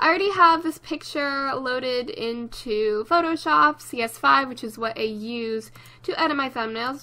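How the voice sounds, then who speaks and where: Against noticeable background noise, a raised, projected voice moves at a very slow pace with lively intonation. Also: woman. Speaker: gaming YouTuber. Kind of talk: tutorial.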